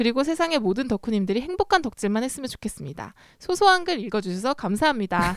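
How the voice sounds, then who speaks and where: Very fast and high-pitched, a woman talks with very wide pitch swings. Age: 30s. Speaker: writer. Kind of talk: reading aloud.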